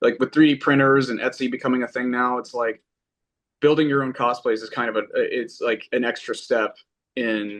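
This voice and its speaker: In an American accent, a man speaks at a medium pitch and a moderate pace with fairly even intonation. He has an unremarkable speaking voice, heard against a quiet background. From Texas. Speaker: lead singer of a new band. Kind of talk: casual interview. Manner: conversational, with many fillers and false starts.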